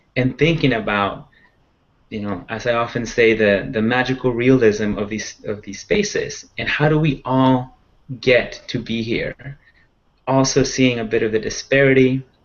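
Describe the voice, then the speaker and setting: A man with a Spanish accent at a moderate pace, with ordinary pitch variation. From Central Valley of California (born in Mexico, moved at nine). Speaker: conservation advocate panelist. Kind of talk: panel discussion. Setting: video call. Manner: hesitant, with frequent fillers.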